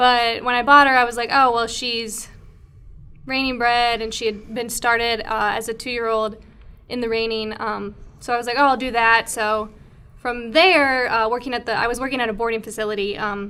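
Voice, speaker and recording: In a slight Minnesota accent, a woman with a fairly high pitch speaks at a moderate pace in a monotone, flat intonation, with audible room echo. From Minnesota, near the Twin Cities. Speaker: podcast co-host, horse equipment company account manager. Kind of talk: casual chat. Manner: relaxed, with frequent fillers.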